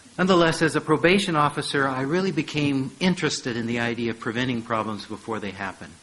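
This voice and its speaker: A man with an American accent, fairly high pitch, lively intonation, a very fast pace and hardly any pauses. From United States (St. Louis). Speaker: professor. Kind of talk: lecture.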